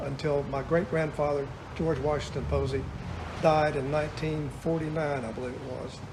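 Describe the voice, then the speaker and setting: With an American accent, a man speaks in a monotone at a moderate pace and a fairly high pitch, with audible room echo and noticeable background noise. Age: 70s. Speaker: retired store owner. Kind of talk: interview.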